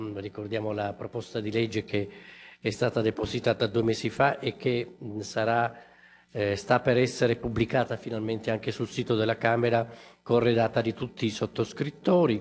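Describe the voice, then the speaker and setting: A man talks at a moderate pace with fairly even intonation and long, frequent pauses. Light background noise sits underneath. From Italy. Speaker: member of parliament; speaker, politician. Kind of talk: formal speech. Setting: press conference in parliament. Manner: hesitant, many fillers. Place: hall. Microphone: podium.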